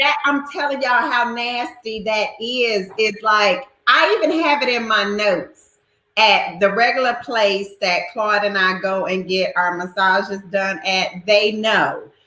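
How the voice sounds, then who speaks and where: A woman's animated, fairly high voice with a bright, sharp tone, ordinary pitch variation and a fairly slow pace. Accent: strong Southern US. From North Carolina, US South. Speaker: live stream host. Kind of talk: casual chat. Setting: live video stream.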